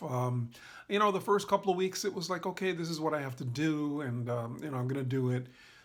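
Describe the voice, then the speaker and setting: The voice is loud, with a bright, sharp tone. It moves at a fairly quick pace with lively intonation. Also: man. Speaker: patient vlogger recovering from neck surgery. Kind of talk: personal vlog update. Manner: talking loud; casual with many fillers.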